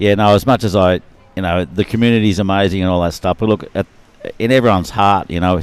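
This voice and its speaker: Using fairly even intonation, a man with an Australian accent speaks at a very fast pace and a fairly low pitch. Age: 60s. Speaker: adaptive surfing athlete. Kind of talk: live commentary.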